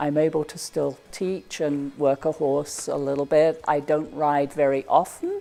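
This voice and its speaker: A woman's very deep, low voice, dark and mellow in tone, at a fairly slow pace with monotone, flat intonation and hardly any pauses. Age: 70s. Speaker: horse trainer and patient. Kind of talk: testimonial interview. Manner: conversational with hesitations.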